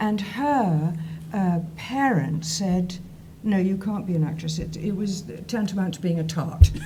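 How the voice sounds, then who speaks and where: A woman with a fairly low pitch and ordinary pitch variation at a fairly slow pace, with audible room echo and noticeable background noise. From southern England. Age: 70s. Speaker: actress. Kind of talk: interview. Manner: animated.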